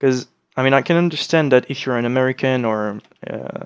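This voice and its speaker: A man talks with a French accent at a medium pitch. The sound is dry and close, with no echo. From France. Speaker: gaming let's play creator. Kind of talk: let's play commentary. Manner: hesitant, many fillers.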